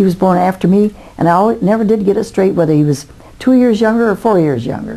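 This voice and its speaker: Over noticeable background noise, a woman with an American accent talks fairly quickly at a medium pitch with ordinary variation. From Indiana, USA. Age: 80s+. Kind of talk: interview answer.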